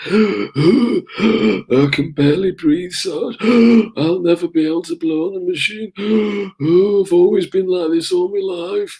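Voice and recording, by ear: Using a put-on character voice, a man speaks high and wheezy at a fairly slow pace with hardly any pauses. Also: ordinary pitch variation.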